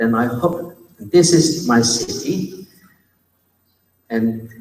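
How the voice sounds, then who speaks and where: A man of medium pitch speaks with lively intonation and a Chinese accent, with audible room echo around him. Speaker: university academic, conference speaker. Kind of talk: conference presentation. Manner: slow, deliberate pace.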